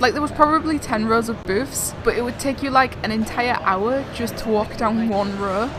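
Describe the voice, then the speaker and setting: A woman in an English accent talks at a fairly quick pace with a fairly high pitch and ordinary pitch variation, with audible room echo and noticeable background noise. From England. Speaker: vlogger. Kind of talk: scripted narration.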